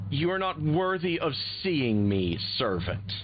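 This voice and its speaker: A hissing put-on character voice speaks at a fairly slow pace against clear background noise. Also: man, medium pitch for a man. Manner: hissing, menacing.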